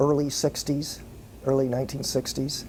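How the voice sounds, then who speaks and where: Spoken in a Texan accent, the voice is monotone and flat at a moderate pace, with noticeable background noise. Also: man. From Fort Worth, Texas. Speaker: entertainment business owner. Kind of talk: interview answer.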